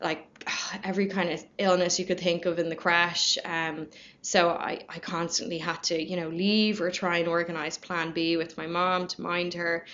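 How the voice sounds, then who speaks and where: In a Dublin accent, a woman speaks at a moderate pace, fairly low in pitch, with monotone, flat intonation. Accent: Dublin Irish. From Ireland, Dublin. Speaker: company culture manager. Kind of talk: casual chat.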